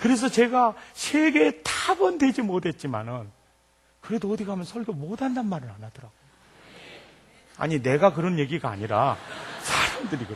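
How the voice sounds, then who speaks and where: Talking at a moderate pace, a man with a high pitch uses very wide pitch swings and big swings in loudness. Long, frequent pauses break up his speech. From Jeolla province, South Korea. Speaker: pastor. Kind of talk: sermon. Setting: church. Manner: animated.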